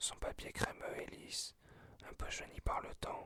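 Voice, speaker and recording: Whispering, the speaker goes at a fairly slow pace. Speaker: ASMR creator. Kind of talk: reading aloud. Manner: halting, self-correcting.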